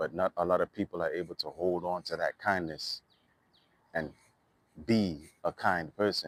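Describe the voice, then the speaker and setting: A man with a Trinidadian accent talks at a fairly slow pace. His very deep, low voice has ordinary pitch variation and a dry, close sound with no echo. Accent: Trinidadian dialect kept. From Trinidad and Tobago, East Dry River. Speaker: musician and vlogger. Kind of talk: casual monologue vlog. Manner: animated.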